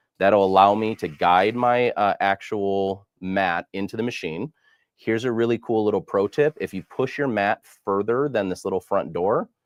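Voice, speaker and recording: A man's fairly low voice with ordinary pitch variation, in a dry, close sound with no echo. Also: quiet background. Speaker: product demonstrator. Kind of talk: tutorial. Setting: live stream. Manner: fast.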